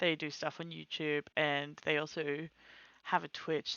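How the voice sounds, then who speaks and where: At a fairly slow pace, a woman speaks with a very deep, low pitch. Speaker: streamer. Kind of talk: casual chat. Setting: live stream. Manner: quiet.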